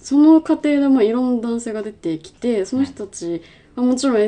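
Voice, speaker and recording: Very wide pitch swings from a woman in a dark, mellow tone at a fairly quick pace. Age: 20s. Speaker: podcast co-host, film company employee. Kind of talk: casual chat.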